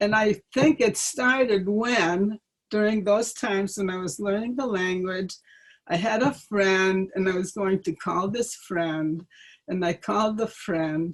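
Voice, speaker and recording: At a fairly slow pace, a woman with a medium-pitched voice speaks on a very clean recording with a silent background. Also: ordinary pitch variation. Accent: slight Ukrainian. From Ukraine. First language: Ukrainian. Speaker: interviewee parent. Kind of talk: life-story interview. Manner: halting.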